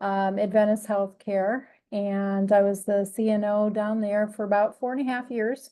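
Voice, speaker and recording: A woman with a Midwestern accent speaks at a moderate pace in a medium pitch, her dark, mellow tone delivered in a flat monotone over a quiet background. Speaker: nurse executive. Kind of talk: self-introduction at staff meeting.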